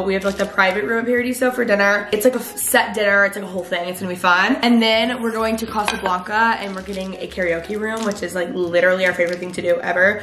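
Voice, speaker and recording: A woman talks at a very fast pace with ordinary pitch variation. Audible room echo and light background noise surround her voice. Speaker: vlogger. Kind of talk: casual vlog chat. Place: kitchen. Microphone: phone near.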